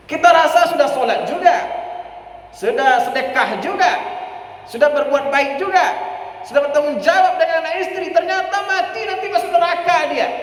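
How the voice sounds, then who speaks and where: Over noticeable background noise and audible room echo, a man talks in an animated tone at a moderate pace, his pitch extremely high and its variation ordinary. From Indonesia, Bangkinang, Riau (Ocu). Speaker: Islamic preacher. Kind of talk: sermon. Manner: blunt, rough-sounding delivery; emphatic, animated.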